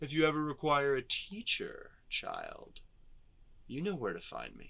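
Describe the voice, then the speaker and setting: A man performs a put-on character voice. He talks at a moderate pace. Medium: read story. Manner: calm, condescending, menacing.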